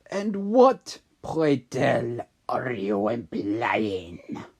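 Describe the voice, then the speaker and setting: This put-on character voice growls softly at a low-to-middle pitch, soft-spoken and at a very slow pace. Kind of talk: haughty, formal. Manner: soft, growling.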